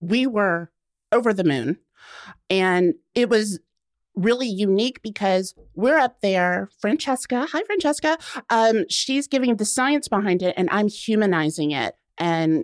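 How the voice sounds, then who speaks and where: A woman with a normal speaking voice and an American accent, with lively intonation and a fairly slow pace, dry, close sound with no echo on a very clean recording with a silent background. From US South, Macon, Georgia. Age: 30s. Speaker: cancer survivor and writer. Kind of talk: casual chat. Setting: studio.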